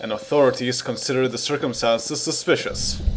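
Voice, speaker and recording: A man is speaking. Music plays in the background. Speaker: news anchor. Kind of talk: radio news broadcast read.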